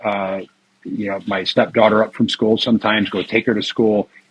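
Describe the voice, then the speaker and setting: A man's ordinary speaking voice, medium in pitch, at a fairly quick pace. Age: 50s. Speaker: retired IT worker and tax lien investor. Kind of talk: interview.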